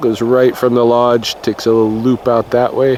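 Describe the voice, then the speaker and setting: A man is talking, and noticeable background noise can be heard with him. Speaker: nature vlogger. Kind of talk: outdoor walking vlog narration. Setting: outdoors in a park, snowing. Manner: casual, conversational; too loud, then quieter.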